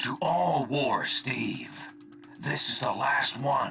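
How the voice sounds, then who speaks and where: Putting on a gruff character voice, a man speaks very slowly at a fairly high pitch over clear background music. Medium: video game. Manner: gruff, folksy, casual slang.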